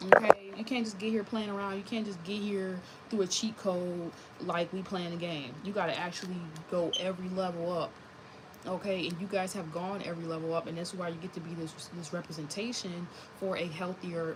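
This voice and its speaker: A woman speaks at a medium pitch and a fairly quick pace, her tone animated. Noticeable background noise sits behind her. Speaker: tarot reader. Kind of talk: tarot reading monologue. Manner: fast.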